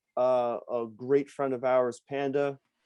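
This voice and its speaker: In a New York accent, a man speaks very slowly at a medium pitch with a dark, mellow tone and monotone, flat intonation. The sound is dry and close, with no echo. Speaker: poker vlogger and podcast host. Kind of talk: casual interview. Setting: video call.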